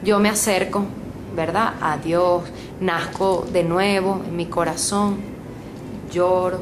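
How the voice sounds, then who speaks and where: A woman's medium-pitched voice in monotone, flat intonation, with audible room echo and noticeable background noise. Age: 60s. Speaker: preacher. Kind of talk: sermon.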